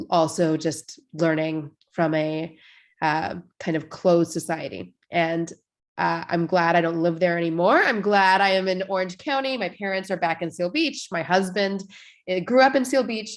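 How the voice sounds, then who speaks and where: In a very clean recording with a silent background, a woman has a plain, everyday voice, fairly low in pitch with ordinary pitch variation. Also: moderate pace. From Washington state, US Pacific Northwest. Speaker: rabbi. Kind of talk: casual conversation.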